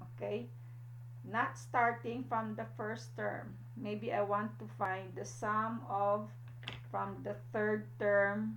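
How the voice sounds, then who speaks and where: Here a woman talks at a very slow pace with a very deep, low pitch. Her voice moves in very wide pitch swings, and there is audible room echo. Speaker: math teacher. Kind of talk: lecture. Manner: frequent fillers like okay and uh.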